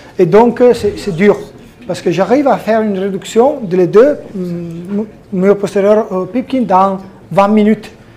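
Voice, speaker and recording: There is noticeable background noise as a man speaks at a fairly slow pace. His pitch is high, with ordinary variation. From Italy. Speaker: orthopedic surgeon. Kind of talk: conference presentation. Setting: conference hall with audience. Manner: halting.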